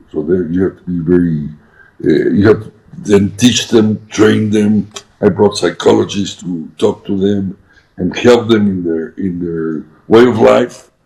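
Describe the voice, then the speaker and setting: With a dark, mellow tone, a man speaks at a fairly low pitch. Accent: Spanish. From Mexico. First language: Spanish. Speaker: businessman. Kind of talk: interview. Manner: halting.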